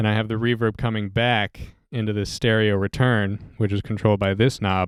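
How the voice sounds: A man at a moderate pace, fairly low in pitch, with a clear, smooth tone and little pitch movement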